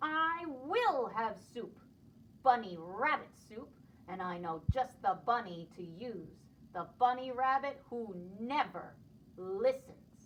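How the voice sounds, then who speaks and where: A woman's put-on character voice, growling, fairly high in pitch, with very wide pitch swings and a fairly slow pace. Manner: snarling, angry, howling.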